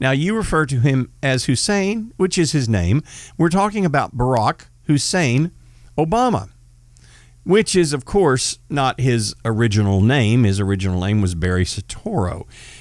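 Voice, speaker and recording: Very clean and set against a silent background, this recording features a man with a Texan accent at a medium pitch. He speaks at a moderate pace with very wide pitch swings. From Northeast Texas. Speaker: podcast host, former police officer. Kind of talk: casual political talk.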